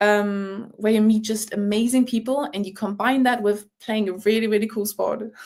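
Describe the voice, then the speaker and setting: Speaking at a moderate pace with hardly any pauses, a woman has a fairly high-pitched voice. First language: German. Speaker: rugby player. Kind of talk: podcast interview. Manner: animated.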